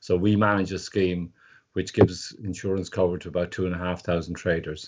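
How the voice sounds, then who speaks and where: A man with a Dublin accent speaks in a very deep, low register. His pace is fairly quick and his intonation monotone and flat. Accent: Dublin Irish. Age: 60s. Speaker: market insurance scheme manager, former street trader. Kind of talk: interview.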